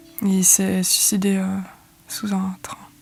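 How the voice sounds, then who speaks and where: Music plays in the background. The speaker moves at a very slow pace. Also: woman. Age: 20s. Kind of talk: interview answer. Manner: hesitant, casual.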